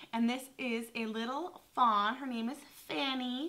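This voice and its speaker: A woman's high-pitched voice at a very slow pace. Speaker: vintage reseller vlogger. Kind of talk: casual vlog chat. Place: home room.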